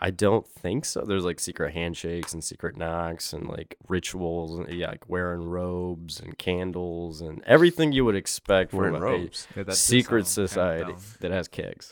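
A man at a moderate pace with hardly any pauses and big swings in loudness, on a very clean recording with a silent background. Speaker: stand-up comedian, podcast guest.

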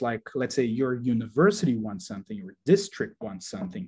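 A man with a Portuguese accent speaks at a moderate pace and medium pitch with very wide pitch swings. His tone is dark and mellow, and somewhat breathy. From Brazil, Rio de Janeiro. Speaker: doctoral researcher in learning analytics. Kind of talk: interview discussion.

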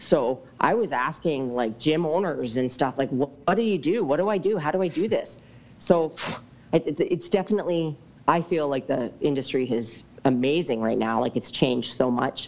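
In a Western Canadian accent, a woman speaks at a moderate pace with a very deep, low pitch. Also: lively intonation. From British Columbia, Canada. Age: 40s. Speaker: fitness coach. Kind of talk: casual interview.

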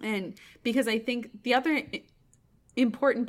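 With an ordinary speaking voice, a woman talks at a fairly quick pace and a fairly high pitch with ordinary pitch variation, in a very clean recording with a silent background. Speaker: opera podcast host. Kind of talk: casual chat.

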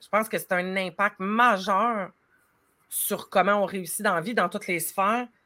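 The tone is bright and sharp, with big swings in loudness and fairly even intonation at a fairly slow pace. The recording is very clean, with a silent background. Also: woman, medium pitch for a woman. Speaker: life coach. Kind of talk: casual chat.

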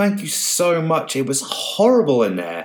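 A squeaky, put-on character voice delivers its lines at a moderate pace. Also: man.

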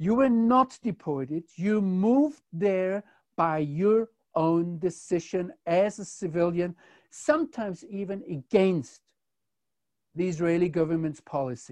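With a quiet background and a dry, close sound with no echo, a man speaks at a fairly slow pace in a high pitch with lively intonation. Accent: German. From Germany. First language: German. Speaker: commentator on Israel. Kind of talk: conversational discussion.

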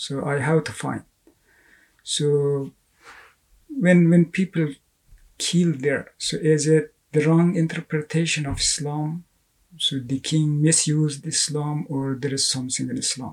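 A man with an Afghan accent speaks at a fairly slow pace, his fairly high pitch held in fairly even intonation. His voice is somewhat breathy, with long, frequent pauses. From Afghanistan. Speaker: writer and artist. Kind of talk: interview. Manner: halting.

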